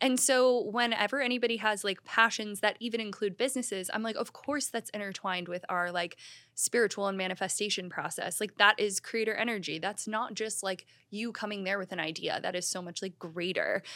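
Speaking at a fairly quick pace, a woman with a medium pitch, ordinary pitch variation and a bright, sharp tone is heard in a very clean recording with a silent background. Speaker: podcast host. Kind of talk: casual chat.

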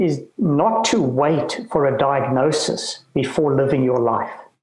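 Audible room echo surrounds a man with a fairly high pitch. His pitch variation is ordinary. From South Africa, Cape Town. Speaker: retired lawyer and author living with Parkinson's. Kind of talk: interview. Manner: halting.

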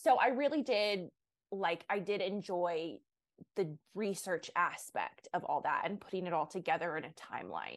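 Against a quiet background, a woman speaks in an ordinary speaking voice at a moderate pace. Her medium pitch carries lively intonation. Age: 20s. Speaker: online content creator. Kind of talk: casual chat.

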